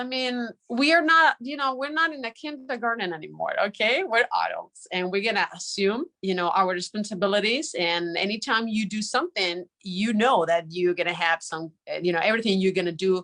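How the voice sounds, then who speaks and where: A woman speaks with a Spanish accent in a bright, sharp tone. Her pitch swings very widely. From Spain. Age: 30s. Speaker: journalist. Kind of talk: conference talk. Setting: live online broadcast. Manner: animated; halting.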